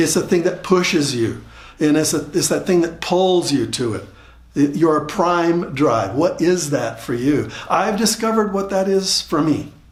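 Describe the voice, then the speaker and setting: A man speaks with lively intonation. Audible room echo hangs around his voice. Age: 70s. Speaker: motivational speaker. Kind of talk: motivational talk. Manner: repeats words, halting starts.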